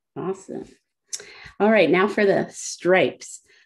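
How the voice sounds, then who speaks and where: A woman speaks at a fairly slow pace with a quiet background. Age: 30s. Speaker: illustrator and workshop instructor. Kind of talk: tutorial. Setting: video call. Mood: calm, relaxed. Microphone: video call.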